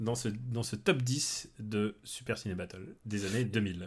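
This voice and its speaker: A man is speaking here. His pace is fairly slow. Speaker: podcast host. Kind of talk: casual chat.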